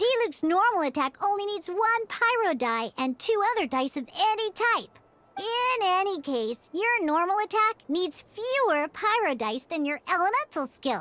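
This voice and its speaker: The speaker puts on a character voice at an extremely high pitch. The pace is moderate, with hardly any pauses. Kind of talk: video game tutorial dialogue. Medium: video game. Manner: lively, playful, teasing.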